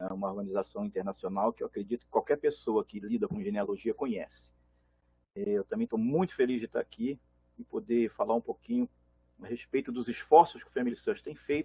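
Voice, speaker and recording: A man with a Rio de Janeiro accent and fairly high pitch talks at a fairly quick pace, with very wide pitch swings and big swings in loudness, in a dry, close sound with no echo. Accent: carioca. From Brazil, Belo Horizonte (born Rio de Janeiro). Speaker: genealogy organization manager. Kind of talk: panel talk.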